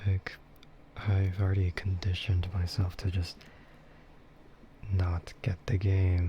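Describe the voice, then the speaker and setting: Very slow and relaxed in tone, a man speaks with a very deep, low pitch, monotone, flat intonation, very even loudness and long, frequent pauses. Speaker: streamer. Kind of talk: casual talk to camera. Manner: slow, relaxed, rambling.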